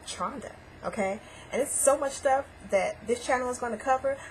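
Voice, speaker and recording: A high-pitched woman, animated, with lively intonation and a fairly quick pace over noticeable background noise. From US Midwest, St. Louis, Missouri. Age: 20s. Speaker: vlogger. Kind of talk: casual vlog introduction.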